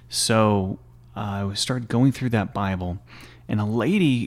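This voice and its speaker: A man with a Texan accent speaks in a fairly low voice with fairly even intonation. The recording is very clean, the background silent. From small-town Texas. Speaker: former army chaplain. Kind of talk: casual interview.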